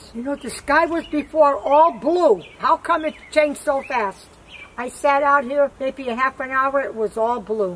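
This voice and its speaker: A woman speaks at a high pitch and a fairly slow pace. Light background noise can be heard. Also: ordinary pitch variation. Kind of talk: casual conversation. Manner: frail elderly voice, slightly tipsy. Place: garden.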